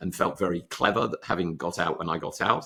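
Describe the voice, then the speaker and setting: A man with an English accent speaks with a very deep, low pitch. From England. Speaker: surgeon and medical tech founder. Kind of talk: interview.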